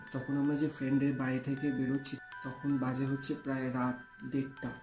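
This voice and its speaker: With music in the background, a man speaks at a medium pitch in a monotone, flat way, his loudness very even. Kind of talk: podcast talk, personal ghost story. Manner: casual, conversational.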